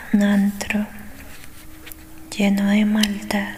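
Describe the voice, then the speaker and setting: A soft-spoken woman's gentle tone at medium pitch, with noticeable background noise. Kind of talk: soft whispered audiobook reading for ASMR. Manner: soft-spoken, gentle.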